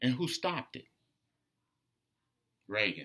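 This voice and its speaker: An animated, bright, sharp tone in an American accent. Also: man. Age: 60s. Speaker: political commentator. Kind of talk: casual monologue.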